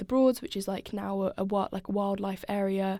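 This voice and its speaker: This woman's voice comes through on a very clean recording against a silent background. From Norfolk, England. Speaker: poet. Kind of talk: interview conversation.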